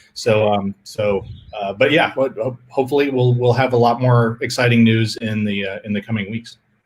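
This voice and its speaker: Somewhat breathy, the voice carries fairly even intonation. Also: man. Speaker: filmmaker. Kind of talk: panel Q&A. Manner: halting, self-interrupting.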